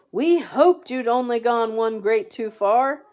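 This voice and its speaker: A woman does a put-on character voice, pitched high and delivered at a moderate pace. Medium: read story. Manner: eager, animated.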